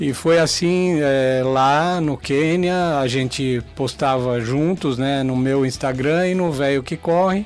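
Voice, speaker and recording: A man with a fairly high pitch speaks at a very slow pace with hardly any pauses. Music plays in the background. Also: ordinary pitch variation. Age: 60s. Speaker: amateur marathon runner. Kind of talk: radio interview. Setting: radio studio. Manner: hesitant, many fillers.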